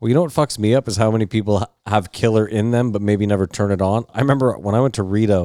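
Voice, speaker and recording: Very fast and mumbling, the dark, mellow voice holds a fairly even intonation, recorded very cleanly against a silent background with a dry, close sound and no echo. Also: man. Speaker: podcast co-host. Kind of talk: casual chat.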